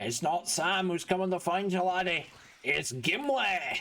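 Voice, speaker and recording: Putting on a character voice, a man speaks at high pitch and a moderate pace in a Scottish accent. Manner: gruff, boastful.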